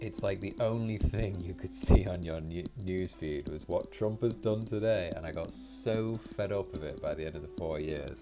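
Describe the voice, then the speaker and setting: This man has a very deep, low pitch and a strong British accent, and his pitch swings very widely. He talks at a moderate pace over music in the background. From Britain. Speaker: gaming YouTuber. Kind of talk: casual gameplay commentary. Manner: relaxed.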